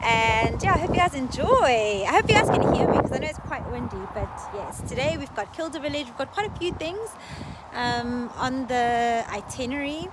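Heard dry with no echo over loud background noise, a woman speaks at a moderate pace. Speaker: travel vlogger. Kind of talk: casual vlog chat. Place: street. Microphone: phone near.

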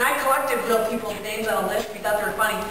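Strong room echo and noticeable background noise accompany a woman's voice. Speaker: professional clown and clown educator. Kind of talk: storytelling presentation to campers. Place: hall. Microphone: camera far.

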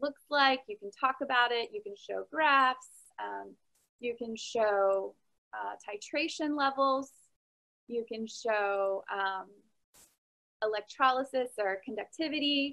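A woman with a high pitch speaks at a very slow pace with lively intonation and long, frequent pauses over a quiet background. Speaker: online science teacher. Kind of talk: informational talk to viewers. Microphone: webcam.

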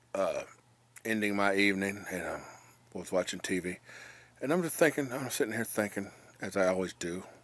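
A man speaks at a fairly quick pace with a fairly low pitch. The sound is dry, with no echo. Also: ordinary pitch variation. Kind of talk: casual vlog chat. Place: home room. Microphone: phone near.

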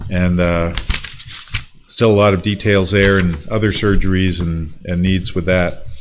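At a moderate pace, a man talks in a very deep, low voice over noticeable background noise. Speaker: pastor. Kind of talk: church announcements and prayer requests. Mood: calm, warm. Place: church. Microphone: podium.

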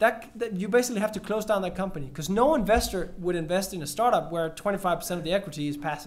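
Talking at a very fast pace, a man with a high pitch and a Danish accent uses lively intonation. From Denmark. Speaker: entrepreneurship workshop leader; panelist. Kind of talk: panel discussion. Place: hall. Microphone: podium.

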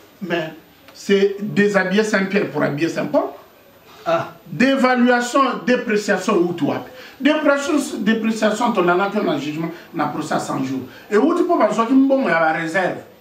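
A man speaks at a fairly slow pace with long, frequent pauses and very wide pitch swings from a high pitch. Audible room echo surrounds his voice. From DR Congo. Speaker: political activist; interviewee. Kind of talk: interview. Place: home room.

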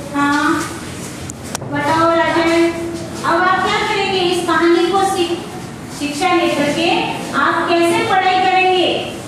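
An extremely high-pitched woman's voice at a very slow pace, with fairly even intonation, noticeable background noise and strong room echo. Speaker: school teacher. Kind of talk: classroom teaching, asking questions. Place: classroom.

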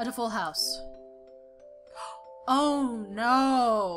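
Over faint background music, a woman speaks at a very slow pace, her fairly high pitch, fairly bright tone and lively intonation all clear.

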